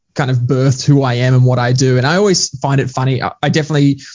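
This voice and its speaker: A somewhat breathy man with an Australian accent at a very fast pace. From Queensland, Australia. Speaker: leadership coach and author. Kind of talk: podcast interview.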